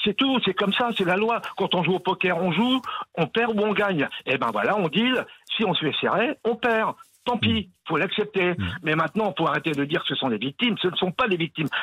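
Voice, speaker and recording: With lively intonation and very even loudness, a man speaks at a high pitch and a moderate pace. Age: 70s. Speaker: caller, former convict. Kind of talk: casual chat. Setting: phone call.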